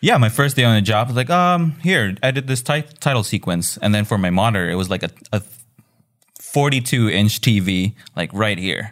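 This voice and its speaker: Speaking at a moderate pace with lively intonation, a man with a fairly low pitch has a slight Filipino accent. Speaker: video editor and designer. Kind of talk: casual chat.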